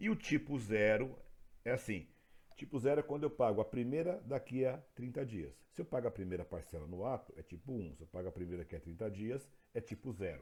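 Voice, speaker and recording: A man talks at a fairly quick pace and medium pitch with vocal fry. His pitch swings very widely. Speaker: teacher. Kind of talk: lecture.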